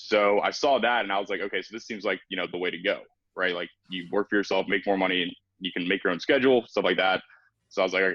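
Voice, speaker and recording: A man with an American accent, fairly low in pitch, at a very fast pace. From US South, North Carolina (Raleigh area). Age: 20s. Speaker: entrepreneur. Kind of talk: podcast interview.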